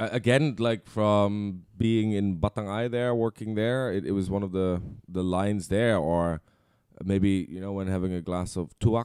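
Speaking with a Dutch accent, the man has a fairly low pitch. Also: fairly even intonation, moderate pace. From Netherlands. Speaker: content creator. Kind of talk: casual chat.

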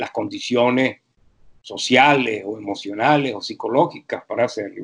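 Fairly slow male speech with lively intonation. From Venezuela. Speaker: university professor. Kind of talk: interview.

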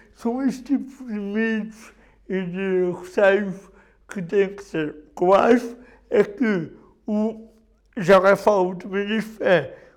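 A man with a high pitch at a very slow pace, with long, frequent pauses and big swings in loudness. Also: ordinary pitch variation. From Portugal, Viseu district. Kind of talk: testimony.

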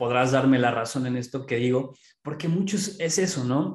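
Amid audible room echo, a man with a central Mexican accent speaks at a fairly slow pace in a fairly high pitch. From Pachuca, Mexico. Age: 30s. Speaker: entrepreneur. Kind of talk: casual interview.

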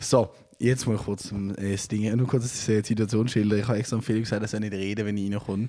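Very fast and monotone, a man talks in a dark, mellow tone at a fairly low pitch with flat intonation. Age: 20s. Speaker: podcast host and musician. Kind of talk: casual chat. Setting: at home, on sofa.

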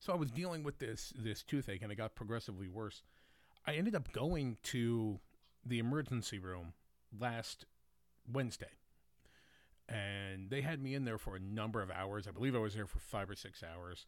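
A man with an American accent talks at a moderate pace and a medium pitch. His intonation is lively, with long, frequent pauses. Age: 40s. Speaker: podcast host. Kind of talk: solo opinion monologue. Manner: casual, opinionated.

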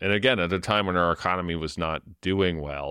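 At a fairly quick pace, a man speaks. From Ontario, Canada (London). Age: 40s. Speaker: housing policy expert. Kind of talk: interview. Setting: video call.

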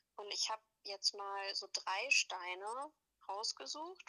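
A woman's fairly high voice at a very slow pace, full of very wide pitch swings. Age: 20s. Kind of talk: interview.

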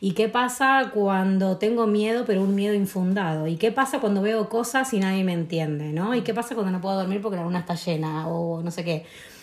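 There is noticeable background noise as a woman with a medium pitch and ordinary pitch variation speaks at a fairly quick pace. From Argentina, Tucumán. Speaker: podcast guest on astrology and spirituality. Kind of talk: casual chat.

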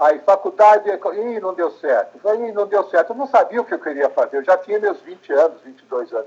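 At a moderate pace and with hardly any pauses, a man speaks at a high pitch with lively intonation. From Brazil, São Paulo. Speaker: journalist and documentary maker. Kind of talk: interview.

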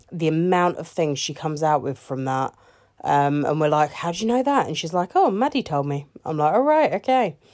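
Lively intonation marks this woman's speech. Her pitch is fairly low and her pace fairly quick. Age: 30s. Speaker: parenting podcaster. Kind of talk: casual solo monologue. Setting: bedroom, in the dark. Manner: hesitant, many fillers.

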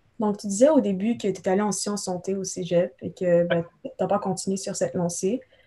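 With hardly any pauses, a woman speaks at a medium pitch in a dark, mellow, somewhat breathy tone with ordinary pitch variation. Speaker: student podcast host. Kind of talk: interview.

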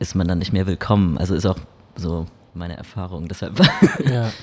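In a very deep, low voice, a man keeps to a moderate pace. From Baden-Württemberg. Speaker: podcast co-host. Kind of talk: casual podcast discussion.

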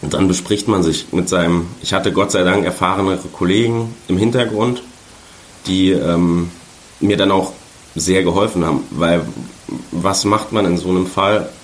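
At a very deep, low pitch, a man talks fairly slowly with long, frequent pauses, very even loudness and ordinary pitch variation, while audible room echo and noticeable background noise fill the recording. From Saarland, Germany. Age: 20s. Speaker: sports journalist. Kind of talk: interview.

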